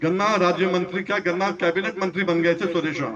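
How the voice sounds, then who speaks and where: Noticeable background noise sits under this man's speech, which is high-pitched. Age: 60s. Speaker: farmer leader. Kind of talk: political speech to farmers. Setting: stage with audience.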